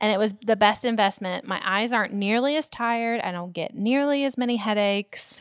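A woman talks at a fairly quick pace with hardly any pauses, using a fairly high pitch and ordinary pitch variation. It is an ordinary speaking voice. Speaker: podcast co-host, business marketer. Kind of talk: casual chat.

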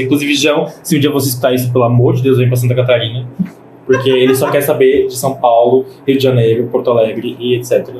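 Noticeable background noise and audible room echo fill the recording. A man speaks at a fairly quick pace with a medium pitch. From Greater Florianópolis, Brazil. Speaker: DJ. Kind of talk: casual chat.

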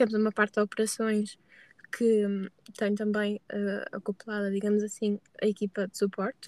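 A woman's medium-pitched voice, monotone and flat in intonation, at a moderate pace with a dry, close sound and no echo. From northern Portugal, Braga. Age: 20s. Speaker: customer success manager. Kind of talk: podcast interview. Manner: hesitant, many fillers.

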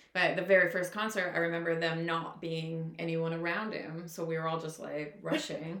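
A woman talks at a moderate pace with a fairly low pitch and hardly any pauses. Audible room echo and noticeable background noise are present. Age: 40s. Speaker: podcast co-host. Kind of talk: casual chat. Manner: animated.

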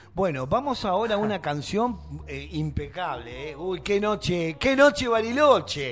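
At a fairly slow pace, a man talks in a high-pitched voice with very wide pitch swings. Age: 50s. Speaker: radio host. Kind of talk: casual chat.

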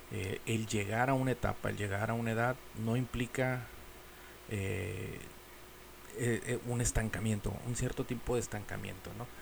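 Speaking at a fairly slow pace with long, frequent pauses, the voice holds a fairly even intonation over noticeable background noise. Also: man, medium pitch for a man. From Mexico. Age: 40s. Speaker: podcast host. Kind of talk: casual monologue. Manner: halting.

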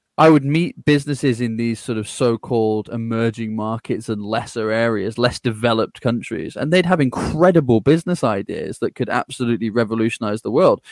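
On a very clean recording with a silent background and a dry, close sound with no echo, a man with an English accent speaks at a fairly quick pace and medium pitch, with ordinary pitch variation and hardly any pauses. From England. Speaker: growth strategist and podcaster. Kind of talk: interview conversation.

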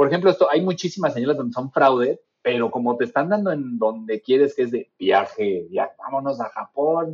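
With a plain, everyday voice, a man at a fairly high pitch speaks at a moderate pace with lively intonation and hardly any pauses. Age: 40s. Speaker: user experience designer. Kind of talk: casual chat.

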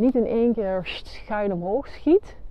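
A woman speaks at a medium pitch. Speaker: therapist and coach podcast host. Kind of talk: solo monologue, spiritual self-help talk. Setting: outdoors, walking on the heath. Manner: hesitant, with fillers.

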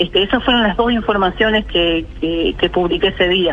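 Clearly audible background noise accompanies speech delivered rather briskly. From Uruguay, Cerro Largo (Brazil border department). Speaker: local news publisher. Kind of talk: radio interview.

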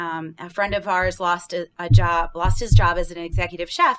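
A woman's normal speaking voice with an American accent, medium in pitch, with ordinary pitch variation. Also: very clean recording, silent background. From rural Pennsylvania, Bradford County. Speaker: business owner, seafood entrepreneur. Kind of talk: interview.

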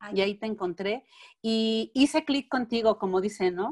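A woman with a Mexican accent speaks at a moderate pace in a fairly high pitch, the sound dry and close with no echo. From Mexico. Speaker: alternative therapist. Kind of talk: interview.

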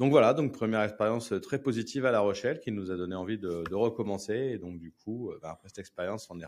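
A man's fairly low voice at a very fast pace, with ordinary pitch variation and big swings in loudness. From Paris, France. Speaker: tech company co-founder. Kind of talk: interview. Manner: hesitant, with fillers.

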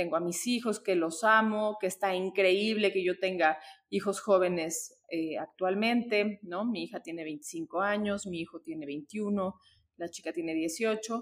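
The woman's voice is medium in pitch. She talks at a fairly slow pace. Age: 40s. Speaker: author and sociologist. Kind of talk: interview. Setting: in person. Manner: hesitant with fillers.

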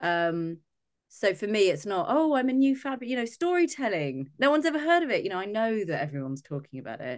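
Talking at a very fast pace over a quiet background, a woman uses a fairly high pitch with very wide pitch swings. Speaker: podcast host. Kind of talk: casual interview chat.

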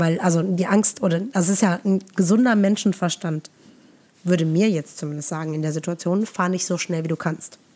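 Her voice fairly low, dark and mellow, a woman speaks at a fairly quick pace with fairly even intonation. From Germany, Eifel region near Nürburgring. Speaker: yoga and meditation teacher, podcast host. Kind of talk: casual interview chat. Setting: remote recording, looking at each other via video.

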